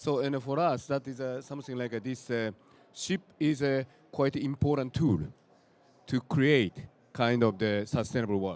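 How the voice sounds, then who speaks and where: Speaking at a moderate pace in a Japanese accent, a man with a medium pitch and ordinary pitch variation leaves long, frequent pauses. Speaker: nonprofit founder. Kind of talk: panel introduction. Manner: halting.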